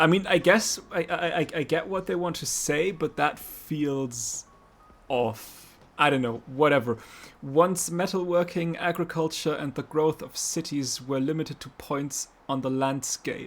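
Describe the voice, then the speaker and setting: A speaker with a non-native accent talks over music in the background. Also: fairly slow pace. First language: not English. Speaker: vtuber streamer. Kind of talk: gameplay commentary.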